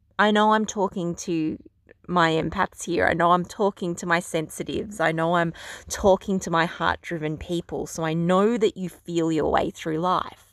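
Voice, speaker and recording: In a dry, close recording with no echo and a silent background, a woman with a fairly low pitch and an unremarkable speaking voice talks at a moderate pace with fairly even intonation. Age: 30s. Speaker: podcast host and beauty clinic owner. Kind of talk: solo podcast monologue on spiritual self-development. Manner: warm, conversational.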